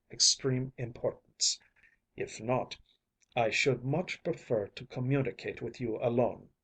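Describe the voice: Over a quiet background, someone does plain reading aloud with fairly even intonation.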